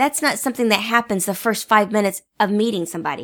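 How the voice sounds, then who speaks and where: Recorded very cleanly against a silent background, a woman talks at a moderate pace in a plain, everyday voice with a fairly high pitch. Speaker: podcast co-host. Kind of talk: casual co-hosted podcast chat. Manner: playful, bantering.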